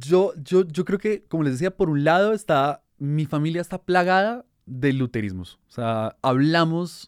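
With an unremarkable speaking voice, a man talks at a moderate pace and a fairly high pitch, with lively intonation and hardly any pauses, in a dry, close sound with no echo on a very clean recording with a silent background. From Colombia (Bogotá, raised partly in Barranquilla). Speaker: journalist. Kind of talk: casual chat.

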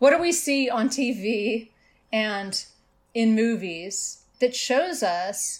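This is a woman with an ordinary speaking voice and lively intonation. The recording is very clean, with a silent background. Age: 50s. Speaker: author. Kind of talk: casual interview conversation.

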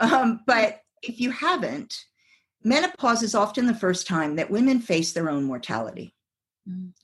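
Very wide pitch swings and vocal fry at a moderate pace. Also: woman, fairly high pitch for a woman. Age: 50s. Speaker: psychologist and sex coach. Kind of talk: casual chat.

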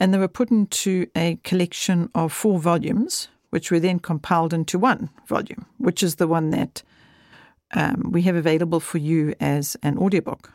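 Recorded very cleanly against a silent background with a dry, close sound and no echo, a woman speaks in a normal speaking voice at a moderate pace and a fairly low pitch. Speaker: podcast host. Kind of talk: casual intro to podcast. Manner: warm, friendly, conversational.

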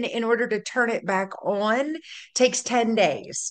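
Speaking with a Louisiana accent, a woman talks at a very slow pace with a fairly high pitch. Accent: Louisiana Southern US. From North Louisiana, raised in Baton Rouge. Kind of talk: casual chat. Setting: video call.

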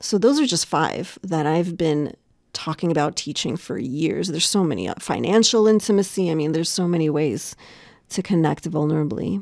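A woman speaks in a fairly low pitch with an ordinary speaking voice, at a moderate pace. Her intonation is lively, and the recording is very clean with a silent background. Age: 40s. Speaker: coach and facilitator. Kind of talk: interview.

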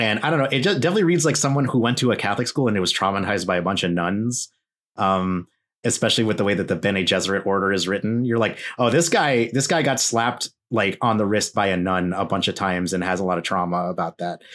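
In a very clean recording with a silent background, a man talks at a very fast pace with an American accent. His pitch is fairly low with ordinary variation, and his loudness stays very even. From US, Filipino American family. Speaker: podcast host, guest on this show. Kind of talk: casual chat.

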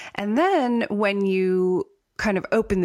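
In an unremarkable speaking voice, a woman talks at a medium pitch with ordinary pitch variation. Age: 40s. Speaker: podcast host and writer. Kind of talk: casual chat.

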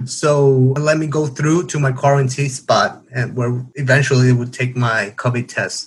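With a Spanish accent, a man speaks at a moderate pace and a medium pitch. His voice is somewhat breathy, with fairly even intonation. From Paraguay. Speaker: international graduate student. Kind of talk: interview. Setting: remote call.

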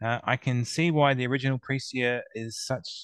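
Recorded with a dry, close sound with no echo against a quiet background, a man speaks in an Australian accent with ordinary pitch variation. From Melbourne, Australia. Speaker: co-judge. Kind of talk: casual chat.

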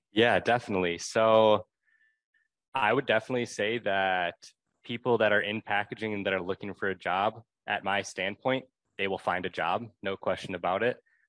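A man with an ordinary speaking voice talks at a moderate pace, fairly low in pitch and with fairly even intonation. The sound is dry and close with no echo, over a quiet background. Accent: American. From Wisconsin, Milwaukee. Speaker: packaging student and intern. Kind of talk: casual interview.

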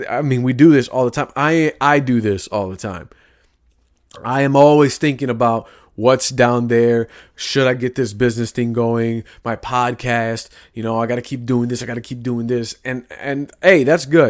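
On a very clean recording with a silent background, a man speaks at a moderate pace. His medium pitch carries an American accent and fairly even intonation. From US Midwest, Chicago inner city. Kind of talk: faith-based monologue, sermon-like. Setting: studio, solo at a mic. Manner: casual, conversational.

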